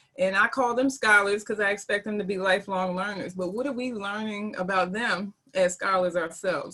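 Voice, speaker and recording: Bright and sharp in tone, a woman with a slight Southern US accent talks at medium pitch and a fairly quick pace, with ordinary pitch variation and hardly any pauses. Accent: slight Southern twang. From North Carolina. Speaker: teacher. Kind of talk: panel discussion.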